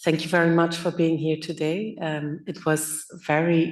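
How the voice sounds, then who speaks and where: A woman talks with monotone, flat intonation. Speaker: audience member asking a question. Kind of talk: panel Q&A question. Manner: halting.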